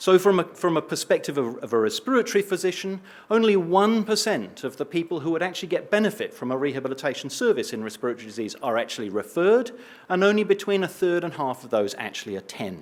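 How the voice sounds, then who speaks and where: In an English accent, a man talks at a very fast pace in a high pitch with very wide pitch swings. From eastern England. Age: old. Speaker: respiratory physician and researcher. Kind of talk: conference talk.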